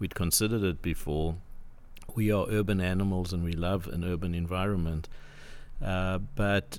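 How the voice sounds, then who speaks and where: With a South African accent, a man speaks at a moderate pace in a very deep, low pitch with ordinary pitch variation. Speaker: property development CEO. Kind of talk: casual interview chat. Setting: studio.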